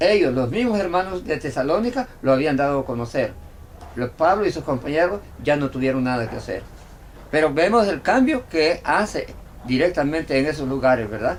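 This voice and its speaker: With very wide pitch swings, a man talks in a fairly high voice. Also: moderate pace. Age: 70s. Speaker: evangelist preacher. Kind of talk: bible study conversation. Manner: halting.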